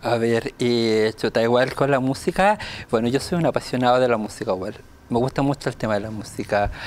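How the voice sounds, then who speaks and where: The speaker has a Chilean accent and a fairly quick pace. Pitch varies in an ordinary way. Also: man, medium pitch for a man. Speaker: deaf dancer. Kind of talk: casual chat.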